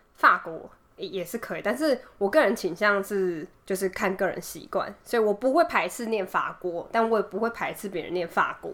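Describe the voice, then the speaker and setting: Speaking in a normal speaking voice, a woman uses lively intonation at a moderate pace. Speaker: podcast co-host. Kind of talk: casual chat.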